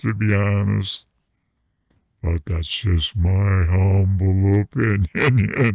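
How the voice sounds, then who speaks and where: Using a put-on character voice, a man talks at a very slow pace with a fairly low pitch. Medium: comedy sketch. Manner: giggly, crude.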